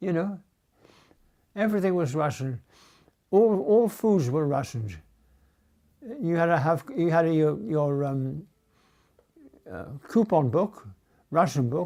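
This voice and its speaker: A man with a Geordie accent speaks fairly slowly in a fairly high, dark, mellow voice. His intonation is lively, with long, frequent pauses. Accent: Geordie (Newcastle English). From Newcastle, England. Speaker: war memories witness. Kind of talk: personal reminiscence interview.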